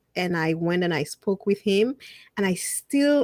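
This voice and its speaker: In a very clean recording with a silent background and a dry, close sound with no echo, a woman with a non-native accent speaks at a medium pitch in a dark, mellow tone with lively intonation. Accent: foreign. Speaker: media host and speaker. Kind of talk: interview conversation.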